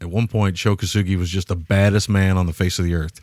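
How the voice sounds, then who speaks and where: In an ordinary speaking voice, a man with a fairly low pitch talks at a fairly quick pace, the sound dry and close with no echo on a very clean recording with a silent background. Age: 40s. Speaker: film podcast host. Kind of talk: casual chat.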